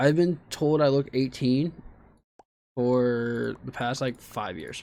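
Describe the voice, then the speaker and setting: A man's dark, mellow tone at a very slow pace, with big swings in loudness and ordinary pitch variation. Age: 20s. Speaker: streamer. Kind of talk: casual chat. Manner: halting.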